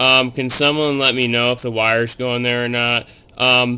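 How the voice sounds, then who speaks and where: A man is talking. His intonation is monotone and flat. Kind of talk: tutorial. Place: home room. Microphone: phone near.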